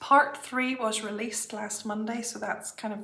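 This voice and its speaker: A woman speaks at a fairly slow pace in a fairly high pitch. Background noise is noticeable. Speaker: cross-stitch vlogger. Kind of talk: casual chat.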